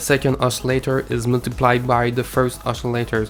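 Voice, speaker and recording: Music plays in the background as someone with a Quebec accent speaks at a moderate pace. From Quebec City, Canada. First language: French. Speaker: music producer. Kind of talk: instructional tutorial.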